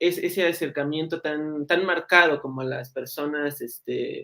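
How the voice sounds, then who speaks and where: With fairly even intonation, this man talks at a fairly slow pace. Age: young. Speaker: interviewer. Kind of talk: interview.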